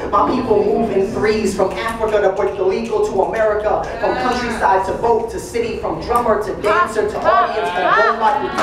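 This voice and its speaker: A man speaks with a high pitch. Audible room echo and noticeable background noise surround his voice. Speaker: slam poet. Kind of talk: slam poetry performance. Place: classroom.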